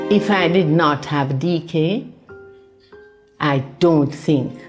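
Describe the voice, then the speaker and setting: Over music in the background, a woman speaks in a very deep, low pitch with ordinary pitch variation. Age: 80s+. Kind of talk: interview answer.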